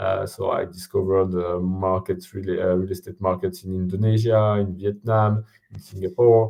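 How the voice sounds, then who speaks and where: A man's fairly low pitch, fairly even intonation and strong French accent. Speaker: company CEO, former investor. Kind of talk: interview. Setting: live stream. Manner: hesitant, many fillers.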